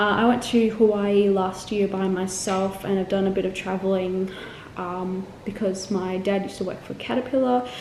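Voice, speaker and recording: With an Australian accent, a woman speaks at medium pitch and a moderate pace in a monotone, flat intonation, with audible room echo and noticeable background noise. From Australia, Melbourne (also lived in Korea, England, Singapore). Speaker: travel vlogger. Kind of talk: casual vlog chat. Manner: chatty, with many fillers.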